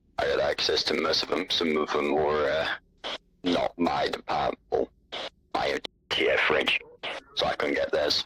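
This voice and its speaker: At a moderate pace, a man puts on a character voice with a tired tone. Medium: machinima. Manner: curt, tired.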